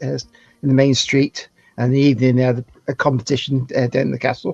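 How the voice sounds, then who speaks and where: Monotone, flat intonation from a man at medium pitch with a strong Welsh-border accent, in a dry, close sound with no echo. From England, near the Welsh border by the Forest of Dean. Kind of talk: casual chat. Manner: halting, many fillers.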